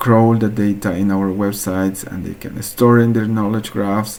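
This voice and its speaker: With noticeable background noise behind it, the voice speaks in an Andean accent with fairly even intonation. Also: man. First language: Quechua. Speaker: researcher presenting a hackathon project. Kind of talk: project presentation. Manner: halting, with frequent fillers.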